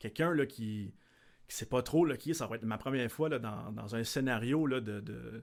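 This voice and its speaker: A man with an unremarkable speaking voice and a medium pitch talks at a moderate pace with ordinary pitch variation, on a very clean recording with a silent background. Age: 30s. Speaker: larp event organizer. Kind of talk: casual chat.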